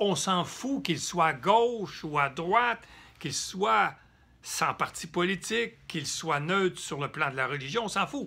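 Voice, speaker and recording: Lively intonation marks this fairly slow-paced speech on a very clean recording with a silent background. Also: man, high pitch for a man. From Quebec. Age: 70s. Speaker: political activist. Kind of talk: political address. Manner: halting.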